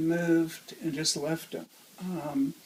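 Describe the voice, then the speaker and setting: A woman's fairly low voice at a very slow pace, fairly even in intonation, over noticeable background noise. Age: old. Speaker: animal rescuer. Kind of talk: interview answer.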